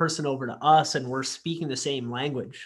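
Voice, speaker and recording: This is a man's voice. It has a fairly high pitch. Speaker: podcast co-host, physiotherapist. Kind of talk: casual interview chat.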